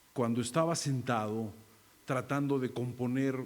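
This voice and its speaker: Speaking at a moderate pace is a man. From Mexico, Mazatlán, Sinaloa. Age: 60s. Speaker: acting teacher and theatre director. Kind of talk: keynote talk. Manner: halting.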